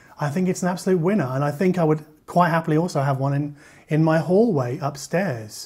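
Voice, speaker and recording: Here a man speaks at a fairly high pitch. His pitch variation is ordinary. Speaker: audio reviewer. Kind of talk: product review. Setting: kitchen at home. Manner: fast.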